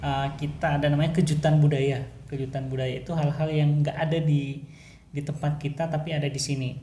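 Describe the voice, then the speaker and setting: A man's fairly high, dark, mellow voice, fairly quick and monotone and flat, with audible room echo. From Sulawesi, Indonesia. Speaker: podcast co-host. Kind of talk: casual chat. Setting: at home. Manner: loud by local standards.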